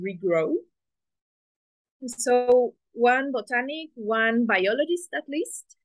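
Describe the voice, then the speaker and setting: A woman with a Spanish accent talks at a very slow pace, her fairly high voice carrying lively intonation. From Mexico. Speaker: engineering student presenter. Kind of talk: presentation. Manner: halting.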